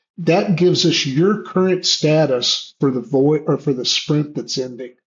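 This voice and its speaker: A man talks at a fairly high pitch, somewhat breathy. His pitch moves with ordinary variation. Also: fairly slow pace. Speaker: online community organizer. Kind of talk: Q&A presentation. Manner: halting.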